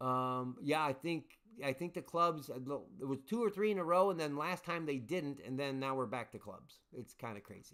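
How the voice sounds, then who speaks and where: Mumbling, a man talks at a fairly high pitch with ordinary pitch variation. The recording is very clean and the background silent. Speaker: livestream game host. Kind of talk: casual live stream chat. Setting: live stream. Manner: mumbling, hesitant with fillers.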